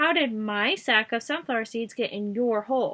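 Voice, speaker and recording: A put-on character voice, raised and projected, moves at a moderate pace. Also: woman. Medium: read story. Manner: sarcastic, commanding.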